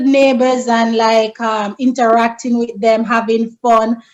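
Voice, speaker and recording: A woman speaks at a fairly slow pace with a strong Jamaican accent. Her pitch is fairly high. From rural Jamaica. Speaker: friend of the host. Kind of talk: casual chat.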